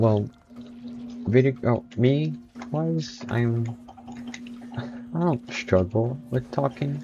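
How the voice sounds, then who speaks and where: Amid noticeable background noise, a man with a medium pitch speaks very slowly, using lively intonation and long, frequent pauses. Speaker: gaming streamer. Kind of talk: gameplay commentary. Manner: animated.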